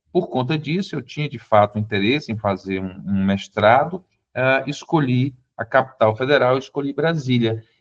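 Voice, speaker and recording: Lively intonation marks this man's medium-pitched voice, which moves at a moderate pace. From Brazil, southern Piauí (Teresina). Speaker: constitutional lawyer. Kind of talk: interview conversation.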